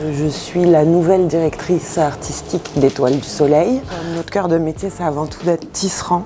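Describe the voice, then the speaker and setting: Over noticeable background noise, a woman talks at a fairly slow pace in a fairly low pitch with ordinary pitch variation. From Marseille, southern France. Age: 40s. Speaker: textile company artistic director. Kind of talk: guided workshop tour. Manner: hesitant with fillers.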